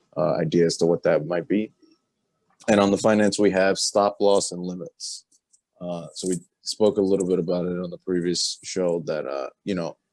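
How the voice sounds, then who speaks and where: A man with a very deep, low pitch, fairly even intonation and a moderate pace, dry and close with no echo. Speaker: podcast co-host. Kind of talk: casual chat. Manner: monotone.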